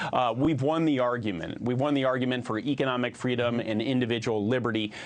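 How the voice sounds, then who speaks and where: Noticeable background noise behind a fairly quick delivery with ordinary pitch variation. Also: man. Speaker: US senator, party committee chairman. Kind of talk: television news interview answer.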